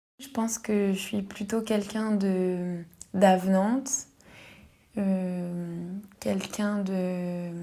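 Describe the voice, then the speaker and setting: Speaking at a very slow pace, a woman at medium pitch has a dark, mellow tone. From Paris region, France. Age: 20s. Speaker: specialized educator. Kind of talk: testimony. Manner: halting, with frequent hesitations.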